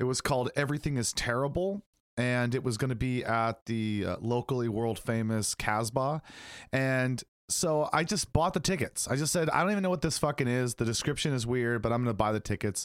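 On a very clean recording with a silent background and a dry, close sound with no echo, a man in an ordinary speaking voice talks at a medium pitch and a fairly quick pace, with ordinary pitch variation and very even loudness. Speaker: podcast host. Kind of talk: casual chat.

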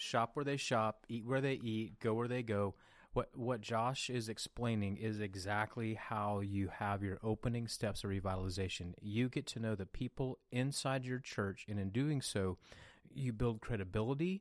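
On a very clean recording with a silent background, a man speaks at a moderate pace at a medium pitch with ordinary pitch variation, an unremarkable speaking voice. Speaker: podcast host. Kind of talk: interview.

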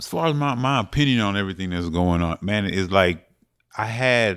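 At a moderate pace, a man with an American accent speaks in a very clean recording with a silent background. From Bronx, New York, Jamaican family. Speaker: panelist. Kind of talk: panel discussion.

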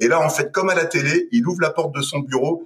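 A man talks fairly briskly, his intonation lively, while music plays behind him. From western France, Deux-Sèvres. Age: 30s. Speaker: entrepreneur. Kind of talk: casual interview.

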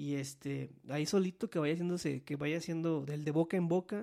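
Speaking fairly quickly with a Mexican accent, a man uses a fairly high pitch with ordinary variation. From Mexico, Veracruz. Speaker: podcast host. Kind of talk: casual chat. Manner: halting.

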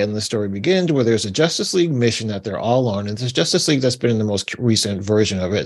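A medium-pitched man with an American accent and lively intonation. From New York. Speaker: podcast co-host. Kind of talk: casual chat.

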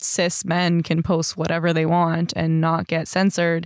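In an ordinary speaking voice, a woman with a fairly low pitch talks at a moderate pace, the sound dry and close with no echo on a very clean recording with a silent background. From Canada, Surrey BC. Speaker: podcast co-host. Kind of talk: casual chat.

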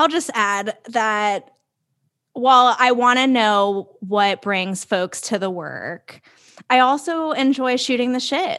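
Against a quiet background, a woman speaks very slowly in a high, bright, sharp voice. Her intonation is lively. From South Florida. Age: 20s. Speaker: podcast co-host. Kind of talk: casual chat. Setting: video call.

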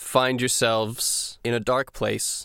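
In a normal speaking voice with a medium pitch, a man speaks at a fairly slow pace on a very clean recording with a silent background. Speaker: dungeon master and podcast host. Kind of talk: tabletop roleplaying game session, casual chat. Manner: casual, conversational, joking.

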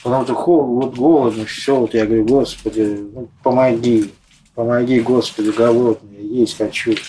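Intonation that stays fairly level, with noticeable noise behind it. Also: man, medium pitch for a man. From Moscow. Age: 40s. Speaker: homeless man. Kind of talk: interview.

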